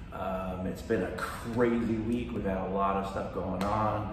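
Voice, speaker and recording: Audible room echo and light background noise around a man speaking. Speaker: fitness vlogger. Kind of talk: casual vlog chat. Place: gym. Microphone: phone near.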